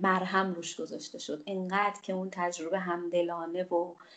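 A woman speaks at a moderate pace and medium pitch in an unremarkable speaking voice. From Iran, Khuzestan (Ahvaz), Bakhtiari roots. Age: 40s. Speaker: journalist. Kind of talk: personal testimony.

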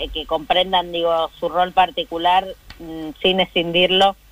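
Medium-pitched woman's voice at a fairly slow pace. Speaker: politician. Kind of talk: interview. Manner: halting.

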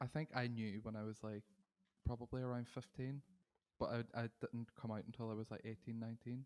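A man speaks at a fairly quick pace in a Northern Irish accent, his pitch medium and his intonation flat and monotone. The sound is dry and close, with no echo. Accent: Derry Northern Irish. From Northern Ireland, Derry. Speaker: singer-songwriter. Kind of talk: interview.

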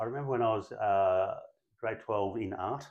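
A man with an Australian accent speaks at a moderate pace and medium pitch. His intonation is fairly even, and the background is quiet. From Brisbane, Australia. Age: 50s. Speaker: real estate agency principal. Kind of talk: interview.

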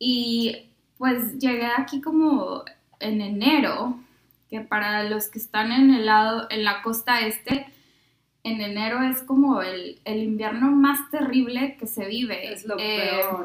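A woman's fairly high voice, very slow in pace, with fairly even intonation. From Mexico, Monterrey. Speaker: speech pathology student, former au pair. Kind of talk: casual chat. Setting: shared microphones in one room.

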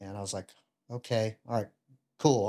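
On a very clean recording with a silent background, a man with a Southern US accent talks at a medium pitch with fairly even intonation. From US South, Louisiana (Ruston). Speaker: retired Navy bomb disposal technician. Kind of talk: casual interview chat.

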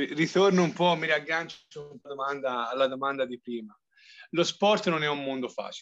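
With ordinary variation in pitch, the voice has a bright, sharp tone. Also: man. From Tuscany, province of Arezzo. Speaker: physiotherapist. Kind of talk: interview.

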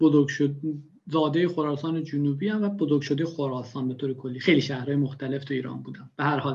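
A fairly high-pitched man, somewhat breathy, at a very fast pace with fairly even intonation. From Iran, Khorasan (rural). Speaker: bitcoin enthusiast. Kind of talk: casual interview.

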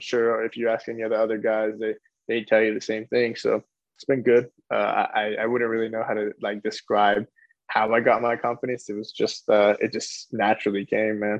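A man at medium pitch and moderate pace, with monotone, flat intonation. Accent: American. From California. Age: 20s. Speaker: professional soccer player. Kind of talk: interview.

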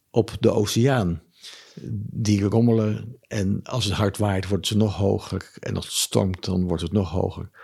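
A somewhat breathy man speaks with a fairly low pitch and fairly even intonation. His pace is fairly slow, and the background is quiet. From Amsterdam, Netherlands. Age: 70s. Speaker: former businessman, Buddhist. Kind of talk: interview. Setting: his living room.

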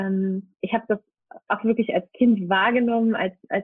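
A woman is speaking here. Her pitch is fairly high and her intonation fairly even. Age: 30s. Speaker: birth mentor. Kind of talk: podcast interview. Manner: hesitant with many fillers.

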